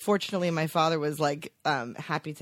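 A woman's very deep, low pitch on a very clean recording with a silent background. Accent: American. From New Jersey, Teaneck. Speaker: TV network executive. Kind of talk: casual chat. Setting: office.

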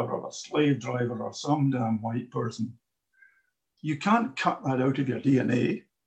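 Speaking at a fairly slow pace in a Glaswegian accent, a man has a somewhat breathy, dark, mellow tone at a fairly high pitch. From Glasgow, Scotland. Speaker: audience member asking questions. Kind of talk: audience question in a discussion.

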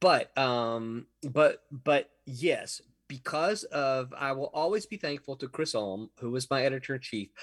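Delivery is fairly slow. Pitch rises and falls in a normal way. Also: man, fairly high pitch for a man. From Mississippi. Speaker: comic book writer and editor. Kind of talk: interview.

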